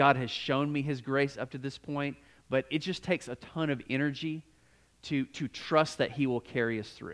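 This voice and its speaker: Recorded dry and close with no echo against a silent background on a very clean track, a man with a fairly high pitch speaks in an animated tone. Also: moderate pace. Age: 40s. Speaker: pastor. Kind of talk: sermon.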